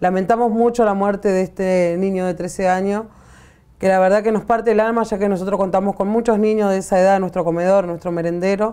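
Her tone dark and mellow, a woman talks at a fairly quick pace with monotone, flat intonation. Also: medium pitch for a woman. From Argentina. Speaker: community organizer, workers' movement leader. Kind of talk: interview. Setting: studio. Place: studio. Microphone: lapel.

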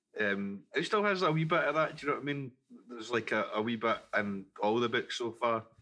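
A man with a Glaswegian accent speaks at a medium pitch in a bright, sharp tone with ordinary pitch variation. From Scotland, Glasgow. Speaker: podcast co-host. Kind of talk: casual chat. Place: studio. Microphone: studio mic.

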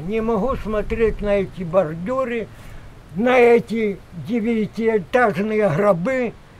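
At a very slow pace, a man talks with a high pitch and ordinary pitch variation. Light background noise sits behind him. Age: 80s+. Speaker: village farmer, horse and bee keeper. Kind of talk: interview answer. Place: farm machine.

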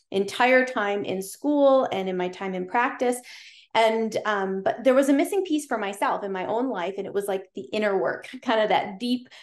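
A woman at a moderate pace, with audible room echo and a quiet background. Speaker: podcast guest, chiropractor. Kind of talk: interview answer. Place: home room. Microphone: video call.

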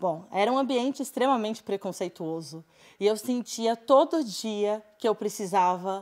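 A woman at a fairly slow pace with ordinary pitch variation, against a quiet background. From Brazil, interior of São Paulo state (Sertãozinho); São Paulo state, Brazil. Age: 20s. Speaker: teacher. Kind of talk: personal testimony talk. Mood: earnest, reflective, personal. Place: studio.

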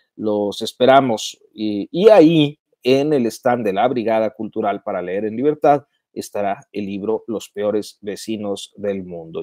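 A dark, mellow voice with ordinary pitch variation goes at a fairly slow pace, in a dry sound with no echo over a quiet background. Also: man. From Mexico. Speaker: journalist hosting a live news commentary stream; journalist live-stream host. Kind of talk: live-stream commentary and chat reading; casual live stream commentary, reading viewer comments. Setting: live online video stream. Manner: halting, many filler sounds. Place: home room. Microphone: earbuds.

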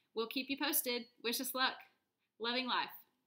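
A woman speaks in a raised, projected voice with a high pitch and a bright, sharp tone. Her pace is fairly quick, and the background is quiet. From US South, North Texas (Dallas area). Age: 30s. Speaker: vlogger. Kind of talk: personal video blog. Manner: hesitant, with fillers. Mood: hopeful, earnest. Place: home room. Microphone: webcam.

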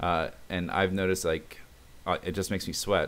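Very deep and low in pitch, a man talks at a fairly quick pace. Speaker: fitness vlogger. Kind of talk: casual vlog chat. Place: home room. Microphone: webcam.

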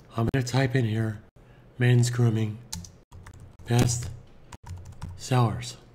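Speaking in a medium pitch, a man sounds breathy and monotone, with flat intonation, at a very slow pace with long, frequent pauses. There is audible room echo. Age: 60s. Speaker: online marketing tutor. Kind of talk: tutorial.

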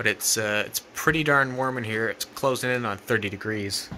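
A man speaks in a normal speaking voice at a fairly quick pace, with ordinary pitch variation. Light background noise is present. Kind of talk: casual vlog chat. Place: workshop. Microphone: phone near.

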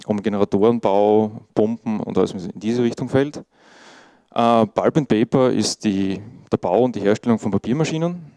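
With an Austrian accent, a man speaks at a moderate pace and a fairly low pitch, in a dark, mellow tone. His pitch varies in an ordinary way against a quiet background. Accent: Austrian German, noticeable dialect. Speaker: IT monitoring specialist, conference speaker. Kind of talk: conference talk. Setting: conference stage with audience. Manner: casual, informal. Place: meeting room.

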